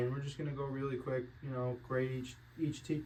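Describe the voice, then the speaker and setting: Someone speaks at a fairly quick pace in a flat monotone, with audible room echo and noticeable background noise. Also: man. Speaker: sports betting podcast host. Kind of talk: casual chat. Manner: mumbling, not enunciating.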